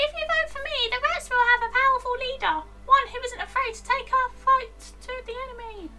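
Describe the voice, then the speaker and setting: Over music in the background, a put-on character voice at an extremely high pitch moves along at a moderate pace. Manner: persuasive, bold.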